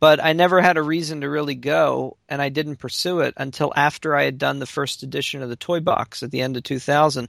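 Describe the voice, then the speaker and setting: An ordinary speaking voice from a man with an American accent, fairly high in pitch, fairly quick with hardly any pauses and fairly even intonation, in a very clean recording with a silent background and a dry, close sound with no echo. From Baltimore, Maryland. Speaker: podcast co-host. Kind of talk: casual chat.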